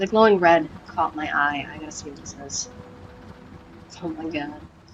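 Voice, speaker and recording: Over noticeable background noise, a woman speaks with a very deep, low pitch, ordinary pitch variation, and big swings in loudness. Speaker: gaming streamer. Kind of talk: let's play commentary. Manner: fast; animated.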